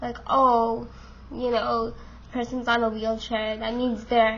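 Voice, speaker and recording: With audible room echo around her, a woman talks at a very slow pace in a high pitch. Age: 20s. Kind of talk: casual vlog monologue. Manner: hesitant, many fillers.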